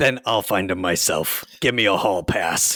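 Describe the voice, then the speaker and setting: A man puts on a raspy character voice, fairly low in pitch with ordinary pitch variation. He keeps a moderate pace and very even loudness. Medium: actual play. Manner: blunt, stubborn.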